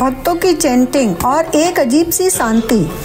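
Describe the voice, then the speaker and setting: Music plays behind a woman speaking at a high pitch. Her intonation is lively. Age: 50s. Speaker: travel vlogger. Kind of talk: scripted narration.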